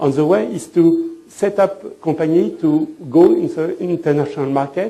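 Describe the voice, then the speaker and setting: A man speaks with a French accent, with audible room echo and noticeable background noise. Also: moderate pace. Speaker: fashion designer and trend consultant. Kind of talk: lecture. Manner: halting.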